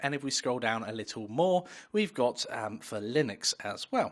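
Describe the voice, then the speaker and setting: Against a quiet background, a man talks at a moderate pace in a normal speaking voice with a medium pitch. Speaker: online course instructor. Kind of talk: tutorial.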